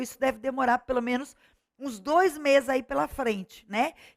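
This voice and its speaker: In a dry, close sound with no echo, a woman with a high voice talks at a moderate pace using ordinary pitch variation. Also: very clean recording, silent background. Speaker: online course teacher for civil service exams. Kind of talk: lecture.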